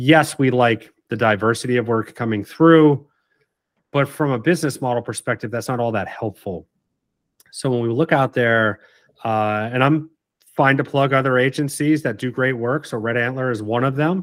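A normal speaking voice from a man in an American accent, at medium pitch and a moderate pace, with ordinary pitch variation. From Martha's Vineyard, Massachusetts. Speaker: branding agency co-founder and CEO. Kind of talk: casual interview.

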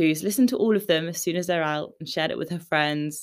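The background is silent and the recording very clean. The voice has a British accent. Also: woman. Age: 20s. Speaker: podcast host. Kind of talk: solo podcast recap, scripted-like chat. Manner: upbeat, friendly.

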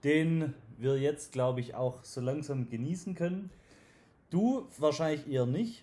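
Speaking at a fairly slow pace, a man with a Swabian accent sounds somewhat breathy, with a dark, mellow tone. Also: fairly high pitch for a man, ordinary pitch variation. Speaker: podcast host and sales trainer. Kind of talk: interview. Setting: at guest's company premises.

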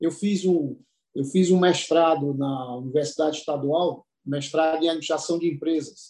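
A man's high voice carries a dark, mellow tone and fairly even intonation. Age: 60s. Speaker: business consultant. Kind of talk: panel discussion.

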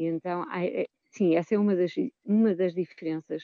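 A fairly slow-paced woman, medium in pitch, with ordinary pitch variation. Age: 50s. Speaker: choir singer. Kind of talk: radio interview. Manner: halting, with repetitions.

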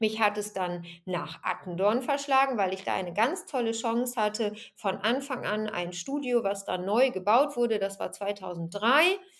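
A woman speaks in a normal speaking voice at a fairly slow pace, her pitch fairly high with ordinary variation. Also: hardly any pauses. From Germany, Bergisches Land (Remscheid). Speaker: fitness trainer and podcast host. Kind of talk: solo podcast monologue.

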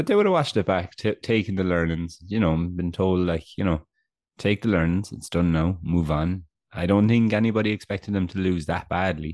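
A man talks at a fairly quick pace in a very deep, low voice with ordinary pitch variation. His tone is animated, and the background is quiet. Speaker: podcast co-host. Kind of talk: casual sports podcast chat. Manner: self-deprecating, animated.

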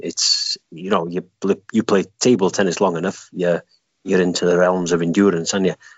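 Here a man speaks in a Welsh accent. His pace is fairly quick. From Wales. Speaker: guest runner. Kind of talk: casual interview chat. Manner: joking, laughs a lot.

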